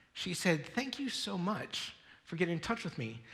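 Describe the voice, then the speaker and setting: Audible room echo follows a man whose voice sits high in pitch. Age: 40s. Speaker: pastor. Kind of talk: sermon. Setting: church. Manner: fast.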